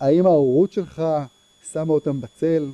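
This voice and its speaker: A man's dark, mellow tone with ordinary pitch variation and a dry, close sound free of echo. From Israel, Herzliya. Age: 50s. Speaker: tech entrepreneur. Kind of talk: lecture. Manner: halting, many fillers and repetitions.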